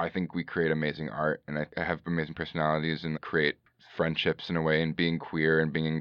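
A man speaks at a very deep, low pitch with an American accent. Vocal fry runs through his voice. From US, San Francisco Bay Area. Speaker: filmmaker and writer. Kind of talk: interview.

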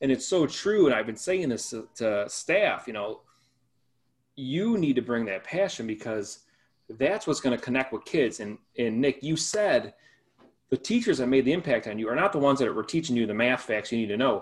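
Recorded very cleanly against a silent background, a man speaks at a moderate pace in an ordinary speaking voice, medium in pitch, with lively intonation. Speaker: co-host and school educator. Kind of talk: casual interview chat.

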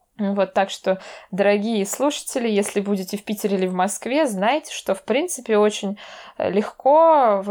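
A woman in a normal speaking voice, medium pitch with ordinary variation, at a moderate pace on a very clean recording with a silent background. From Russia, Veliky Novgorod. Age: 20s. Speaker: cultural studies graduate student. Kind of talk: casual interview.

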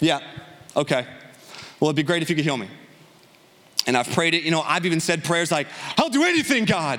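Over noticeable background noise, a man with a high pitch talks at a very fast pace in an animated tone, with long, frequent pauses. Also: ordinary pitch variation. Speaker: guest preacher. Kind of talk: sermon. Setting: church.

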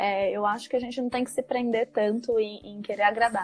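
Against noticeable background noise, a woman speaks fairly quickly in a fairly high pitch. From Brazil, São Paulo. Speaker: ambassador and book author. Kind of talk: live-stream interview.

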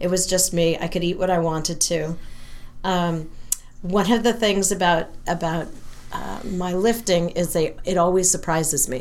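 A woman with an American accent speaks at a moderate pace in a fairly low pitch. Her intonation is fairly even, with audible room echo. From US West Coast, San Francisco area. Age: 60s. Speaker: rabbi and powerlifter. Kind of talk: casual interview.

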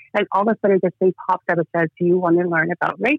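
A plain, everyday voice. A woman speaks at a fairly quick pace, her pitch in the medium range. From Toronto, Canada (immigrated from Georgia at four). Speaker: children's author and energy healer. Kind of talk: interview. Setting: phone call.

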